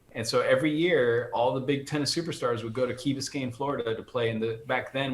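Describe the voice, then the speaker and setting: A man with an American accent speaks fairly quickly at a medium pitch, with ordinary pitch variation. Audible room echo and noticeable background noise fill the recording. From United States, Colombian family. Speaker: orchestral percussionist. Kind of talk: casual interview chat.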